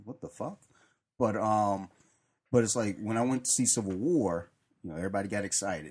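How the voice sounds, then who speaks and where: With an ordinary speaking voice, a man speaks at a fairly quick pace and a fairly low pitch on a very clean recording with a silent background. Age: 40s. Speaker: podcast panelist. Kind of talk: casual chat.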